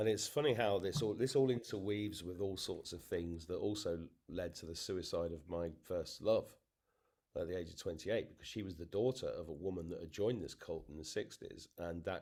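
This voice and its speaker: A man with an English accent and a fairly low pitch, his dark, mellow tone marked by big swings in loudness, ordinary pitch variation and a fairly quick pace. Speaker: interviewee. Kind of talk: testimony. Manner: halting.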